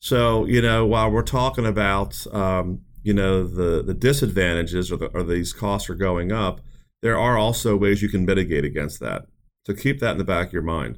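A man with a plain, everyday voice, fairly low-pitched, at a moderate pace with ordinary pitch variation. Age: 40s. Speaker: financial advisor and radio show host. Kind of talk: radio talk show discussion. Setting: studio.

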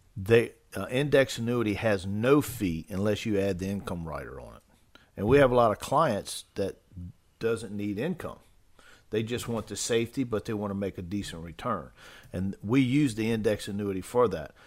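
An unremarkable speaking voice from a man, fairly low in pitch, at a moderate pace with ordinary pitch variation and big swings in loudness. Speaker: financial advisor co-host. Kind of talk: casual chat.

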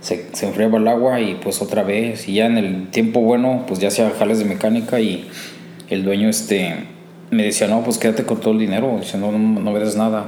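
The recording has audible room echo and noticeable background noise. A man with a fairly low pitch talks at a fairly quick pace with fairly even intonation. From Mexico, Cuautla, Morelos. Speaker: mechanic. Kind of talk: personal testimony. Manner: halting, frequent repetitions.

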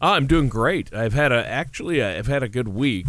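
A plain, everyday voice from a man of medium pitch with ordinary pitch variation, dry and close with no echo, on a very clean recording over a silent background. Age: 50s. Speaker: radio co-host. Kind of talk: casual chat.

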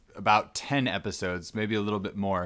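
This man has a plain, everyday voice pitched fairly low. He keeps a moderate pace and a fairly even intonation. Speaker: podcast co-host. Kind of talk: casual chat. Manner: laughs often.

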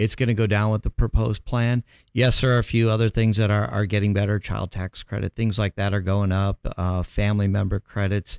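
In an unremarkable speaking voice, a man talks at a fairly low pitch with fairly even intonation, a fairly quick pace and hardly any pauses. The sound is dry and close with no echo, on a very clean recording with a silent background. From Chicago, US Midwest. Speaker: accountant and tax professional. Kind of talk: radio interview.

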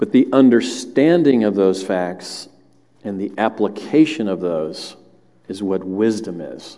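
Speaking with a Southern US accent, a man with a fairly low pitch and a dark, mellow tone uses lively intonation and big swings in loudness. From US South (Alabama family). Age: 60s. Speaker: lay preacher, church elder. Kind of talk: sermon. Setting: church with congregation.

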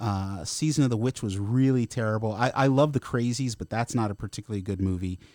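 A man talks at a very fast pace with hardly any pauses. His medium-pitched voice has ordinary pitch variation and sounds dry and close, with no echo. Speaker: comic book writer and former actor. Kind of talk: casual interview. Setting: studio.

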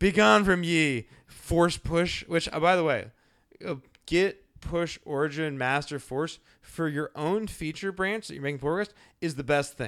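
Fairly slow and fairly high-pitched, a man with an unremarkable speaking voice and ordinary pitch variation is heard on a very clean recording with a silent background. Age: 30s. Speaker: podcast host, front-end developer. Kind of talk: casual interview chat.

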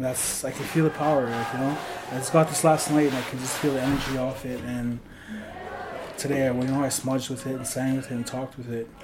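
A man delivers his words at a very fast pace in a monotone, flat intonation. Audible room echo and noticeable background noise fill the recording. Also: medium pitch for a man. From Paul First Nation, Treaty 6, Alberta. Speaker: drummer. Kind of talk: interview.

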